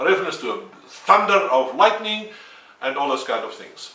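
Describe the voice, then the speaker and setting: In a raised, projected voice with a non-native accent, a man speaks at a moderate pace with very wide pitch swings, amid audible room echo and noticeable background noise. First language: Afrikaans. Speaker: independent theorist. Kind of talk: video lecture. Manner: halting.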